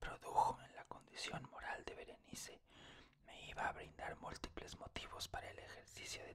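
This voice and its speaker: A man whispering at a moderate pace. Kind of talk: whispered literary reading of a horror short story. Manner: whispered, calm, relaxing.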